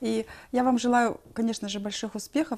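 A woman talks at a moderate pace. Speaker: TV host. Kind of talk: TV interview. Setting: studio. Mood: warm, encouraging. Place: studio.

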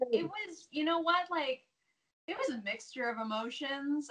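With an American accent, a woman speaks at a moderate pace. Her intonation is lively. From United States. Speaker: professional wrestler; interview guest. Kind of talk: casual interview. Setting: video call. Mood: touched, grateful. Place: home room. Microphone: earbuds.

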